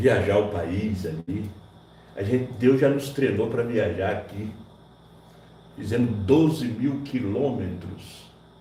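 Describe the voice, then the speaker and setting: There is audible room echo as a man speaks at a very slow pace, with long, frequent pauses. His medium pitch shows ordinary pitch variation. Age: 60s. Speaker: pastor. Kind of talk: sermon. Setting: church.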